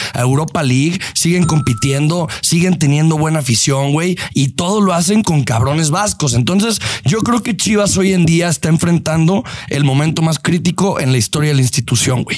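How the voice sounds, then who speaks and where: A man's fairly high voice at a moderate pace, lively in intonation and very even in loudness, over noticeable background noise. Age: 20s. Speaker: podcast host, football fan. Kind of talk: casual chat.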